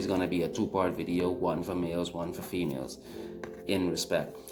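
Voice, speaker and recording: A man's very deep, low pitch at a fairly quick pace, with music in the background and audible room echo. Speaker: vlogger. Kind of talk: personal commentary video. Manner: halting, repeats words.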